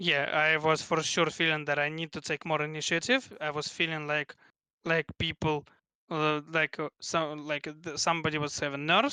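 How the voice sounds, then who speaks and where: A man with a Russian accent talks at a moderate pace in a fairly high, bright, sharp voice. The sound is dry and close with no echo, over a quiet background. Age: 20s. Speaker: esports player. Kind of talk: interview. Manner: halting.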